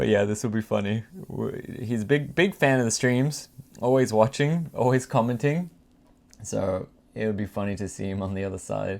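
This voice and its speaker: A man speaks with an Australian accent at a fairly low pitch. His pace is moderate and his pitch variation ordinary. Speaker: livestreamer. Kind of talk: casual chat. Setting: at his dad's house.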